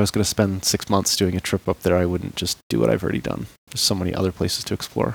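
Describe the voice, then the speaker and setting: A man talks at a very fast pace in a dry, close sound with no echo. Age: 40s. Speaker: long-distance hiker and backpacking guide. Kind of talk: casual interview.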